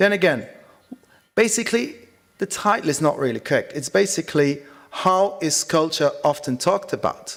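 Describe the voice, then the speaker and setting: A man with a Dutch accent speaks at a moderate pace in a high pitch, his intonation lively. He leaves long, frequent pauses. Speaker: conference speaker. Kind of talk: conference presentation.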